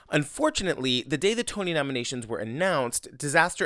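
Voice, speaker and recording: A man speaks at a fairly quick pace in a fairly high pitch, his voice swinging very widely up and down. The recording is very clean, with a silent background. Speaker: podcast host. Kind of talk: interview conversation.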